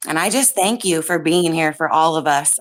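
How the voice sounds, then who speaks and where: A woman's fairly low voice with ordinary pitch variation, on a very clean recording against a silent background. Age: 40s. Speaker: caller. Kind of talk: emotional testimony. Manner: halting. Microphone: too quiet.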